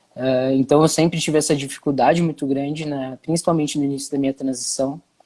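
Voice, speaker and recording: This man talks at a very fast pace. His fairly high pitch stays monotone and flat. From Brazil, São Paulo city. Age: 20s. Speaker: content creator and activist. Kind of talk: interview.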